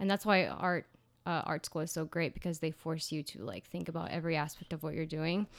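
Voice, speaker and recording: Fairly quick speech with vocal fry and fairly even intonation on a very clean recording with a silent background. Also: woman, fairly low pitch for a woman. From Ciudad Juarez, Mexico. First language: Spanish. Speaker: portrait photographer. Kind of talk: interview.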